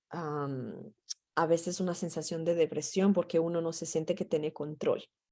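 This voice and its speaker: At a moderate pace, a woman with a Portuguese accent speaks in a dark, mellow tone, her pitch fairly low and her intonation monotone and flat. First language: Portuguese (speaking Spanish). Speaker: mental health trainer. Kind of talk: training session.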